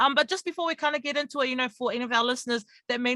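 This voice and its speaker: A very fast man's voice, raised and projected, bright and sharp in tone, with ordinary pitch variation and a dry, close sound with no echo. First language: not English. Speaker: radio host. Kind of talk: radio interview.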